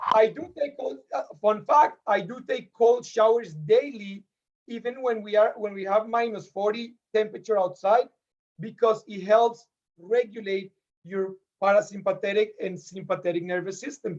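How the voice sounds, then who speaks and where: A moderate pace with ordinary pitch variation and big swings in loudness, in a Spanish accent. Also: man, high pitch for a man. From Colombia. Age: 30s. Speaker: podcast guest. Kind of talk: casual chat.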